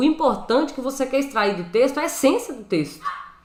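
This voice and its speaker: With a strong mineiro accent, a woman's bright, sharp, fairly high voice moves through very wide pitch swings amid audible room echo. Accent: Brazilian mineiro accent, strong. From Brazil, Minas Gerais. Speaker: Bible and Hebrew teacher. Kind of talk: live teaching stream. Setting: live stream from home room. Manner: casual, conversational. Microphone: new microphone.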